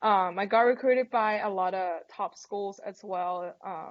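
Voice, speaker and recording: A woman with a Thai accent speaks at a fairly slow pace and a medium pitch. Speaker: college golfer. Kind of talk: interview.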